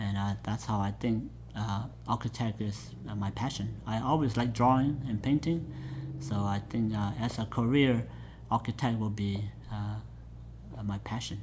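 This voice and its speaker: A man with a Southeast Asian accent and a fairly low pitch, at a moderate pace, with ordinary pitch variation. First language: Hmong. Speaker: pastor. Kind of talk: oral history interview. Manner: halting, many fillers.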